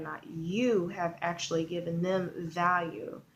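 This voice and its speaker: A woman speaks quietly at a fairly low pitch with ordinary pitch variation. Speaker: online marketing vlogger. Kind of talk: video tutorial. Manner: kept quiet, subdued; casual with many fillers.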